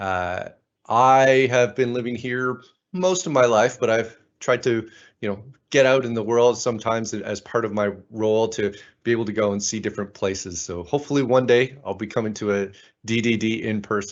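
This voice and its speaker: A man with a Canadian accent talks in an ordinary speaking voice at medium pitch. His pace is moderate and his pitch variation ordinary. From Canada, Ottawa. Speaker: conference speaker. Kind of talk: conference talk.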